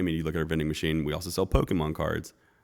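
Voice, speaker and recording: A man with an American accent speaks at a very deep, low pitch with monotone, flat intonation. The recording is very clean, with a silent background. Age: 30s. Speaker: chef and restaurant owner. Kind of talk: casual chat. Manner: relaxed.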